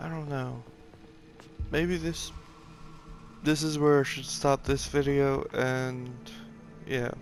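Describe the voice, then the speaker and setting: A quiet man with a fairly high pitch and fairly even intonation speaks at a very slow pace, with long, frequent pauses and music in the background. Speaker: gamer playing a video game. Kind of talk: let's play commentary. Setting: at home on a couch. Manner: quiet, subdued.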